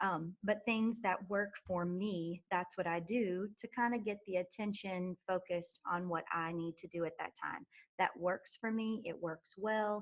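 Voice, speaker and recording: A woman's medium-pitched voice, fairly slow and fairly even, with hardly any pauses. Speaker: choir teacher. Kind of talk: conference presentation. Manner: soft-spoken.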